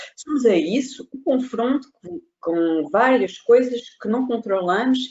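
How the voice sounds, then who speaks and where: A woman talks with a non-native accent. Her pitch swings very widely. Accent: foreign accent in Portuguese. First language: not Portuguese (speaking Portuguese). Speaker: consultant. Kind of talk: webinar presentation. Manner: halting.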